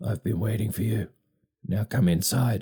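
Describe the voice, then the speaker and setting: A raspy, put-on character voice. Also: man. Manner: demanding.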